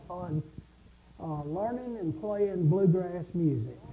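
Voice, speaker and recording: The pace is fairly slow. The speech comes in a Southern US accent. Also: man. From South Carolina. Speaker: music instructor. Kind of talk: casual chat.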